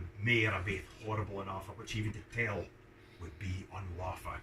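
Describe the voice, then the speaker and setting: This man speaks with a Scottish accent. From Scotland. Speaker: fiddler. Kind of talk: poetry reading. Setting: pub.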